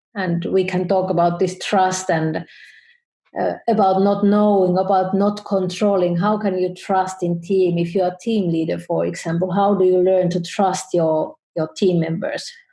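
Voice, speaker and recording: A woman's medium-pitched, dark and mellow voice, somewhat breathy, with monotone, flat intonation, very even loudness and a fairly slow pace. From Finland. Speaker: photographer and business educator. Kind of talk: interview. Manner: halting.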